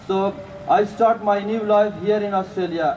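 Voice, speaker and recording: Noticeable background noise sits behind speech that moves at a moderate pace. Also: man. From Afghanistan. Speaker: refugee community leader and union organiser. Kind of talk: protest rally speech. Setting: outdoor rally. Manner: halting.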